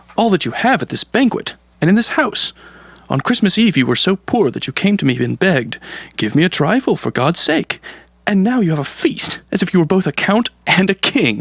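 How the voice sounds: A man puts on a high-pitched character voice with big pitch swings, vocal fry and a slightly husky edge. The sound is dry and close with no echo, and he takes long, frequent pauses. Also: moderate pace.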